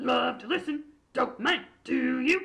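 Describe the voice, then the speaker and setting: A put-on character voice talks at a fairly slow pace and a fairly high pitch. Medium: read story. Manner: clipped, chatty, cheerful.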